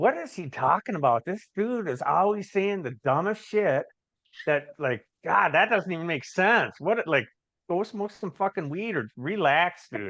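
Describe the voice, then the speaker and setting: The tone is animated, bright and sharp. The intonation is lively. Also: man, high pitch for a man. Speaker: recovering addict, author and business owner. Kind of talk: podcast interview. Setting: video call. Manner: fast.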